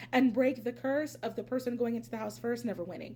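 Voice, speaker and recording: Loud over noticeable background noise, a woman talks with an American accent. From Pennsylvania. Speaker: reality TV commentator, YouTuber. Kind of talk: casual vlog commentary. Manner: animated.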